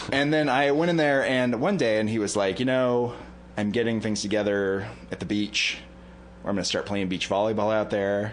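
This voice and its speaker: Audible room echo surrounds a man's fairly low voice with an American accent. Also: ordinary pitch variation, moderate pace. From northern US near Canadian border. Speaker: comedy podcast co-host. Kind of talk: casual chat.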